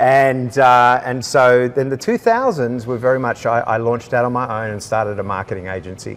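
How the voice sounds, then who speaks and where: With an Australian accent, a man talks at a fairly quick pace. His voice sits at medium pitch with fairly even intonation. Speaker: leadership coach. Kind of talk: interview. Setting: indoors in a large building.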